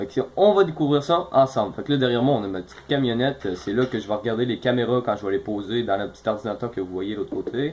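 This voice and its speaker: With a Quebec accent, a man talks at a very fast pace in a medium pitch, with lively intonation and hardly any pauses. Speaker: gaming youtuber. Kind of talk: gameplay commentary.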